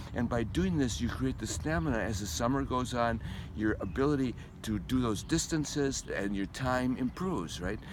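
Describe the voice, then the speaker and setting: Medium-pitched male speech with vocal fry, lively intonation and a moderate pace, in audible room echo. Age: 70s. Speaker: amateur runner. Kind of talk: interview. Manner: halting, repeats words.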